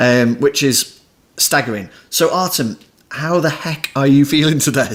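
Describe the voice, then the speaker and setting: A man with a British accent, fairly high pitch, ordinary pitch variation and a fairly slow pace. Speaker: podcast host. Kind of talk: podcast interview.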